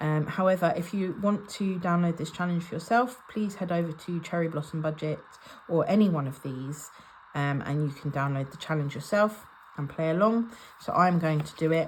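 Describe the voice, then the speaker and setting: A woman speaks in an English accent at a fairly low pitch. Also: ordinary pitch variation, moderate pace. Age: 30s. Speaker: budgeting vlogger. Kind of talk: casual vlog talk to camera. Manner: casual with frequent ums.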